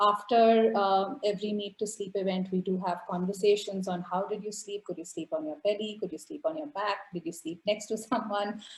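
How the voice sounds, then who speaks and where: Speaking at a fairly quick pace with hardly any pauses, a woman sounds somewhat breathy. Her pitch is medium, with ordinary variation. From India, Calcutta. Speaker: activist and artist. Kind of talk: presentation.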